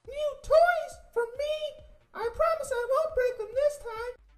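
In a put-on character voice, the speaker goes extremely high in pitch at a fairly slow pace.

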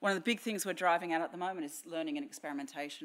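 A woman with an Australian accent speaks at a fairly low pitch. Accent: Australian, noticeable. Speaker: technology strategy director at a bank. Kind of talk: conference talk. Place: hall. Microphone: podium.

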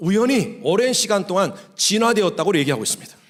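Audible room echo surrounds a man talking at a fairly quick pace with lively intonation. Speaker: pastor. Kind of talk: sermon. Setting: church.

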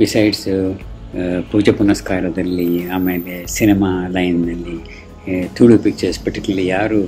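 Fairly even in intonation, a man with a fairly low voice speaks over faint background music. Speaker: neighbour giving tribute. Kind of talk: tribute speech to camera about an acquaintance, Kannada mixed with English. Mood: warm, admiring. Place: home room. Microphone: phone near.

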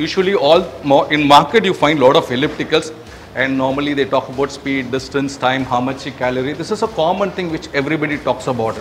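A man talks at a very fast pace with ordinary pitch variation over light background noise. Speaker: presenter. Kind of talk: product walkthrough. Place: gym.

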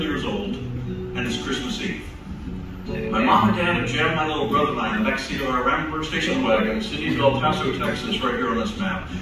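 A man's voice with audible room echo and music in the background. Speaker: ventriloquist comedian. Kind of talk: stand-up comedy performance. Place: stage. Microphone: pa.

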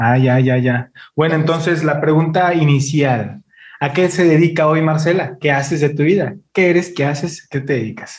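Against a quiet background, a man with a fairly high voice speaks at a moderate pace, his loudness very even and his pitch variation ordinary. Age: 30s. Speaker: podcast host. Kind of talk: casual interview. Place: studio. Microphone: studio mic.

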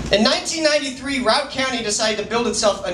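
A man with an American accent at a very fast pace, plus audible room echo and light background noise. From Colorado. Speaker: slam poet. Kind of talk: slam poetry performance. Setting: live open mic venue. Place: bar. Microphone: camera far.

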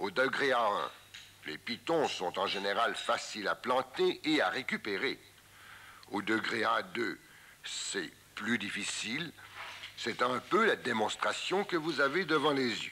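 Speaking very slowly in a calm tone, a man leaves long, frequent pauses. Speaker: mountaineering instructor narrating. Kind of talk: 1958 documentary film narration, voice-over explaining climbing technique. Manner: calm, didactic, measured and formal; clear step-by-step instructional delivery, even pace.

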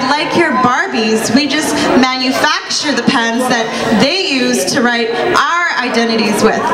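Loud background noise surrounds a woman talking at a high pitch. She goes fairly slowly, with ordinary pitch variation. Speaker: spoken word poet. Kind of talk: spoken word poetry performance. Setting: live stage at cultural show. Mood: defiant, pointed. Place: cafe. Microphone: handheld.

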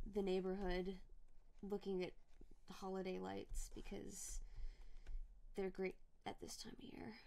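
Quiet speech at a moderate pace. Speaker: streamer and artist. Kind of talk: casual chat. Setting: live stream.

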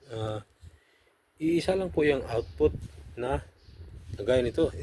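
A man speaks very slowly in a dark, mellow, somewhat breathy voice, his pitch swinging very widely. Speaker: audio equipment vlogger. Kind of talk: tutorial. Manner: halting.

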